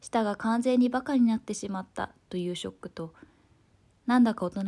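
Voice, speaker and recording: Somewhat breathy and dark, mellow in tone, a woman talks at a fairly quick pace with ordinary pitch variation, recorded very cleanly against a silent background. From Osaka, Japan. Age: 20s. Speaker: essay narrator. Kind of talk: reading aloud a personal essay.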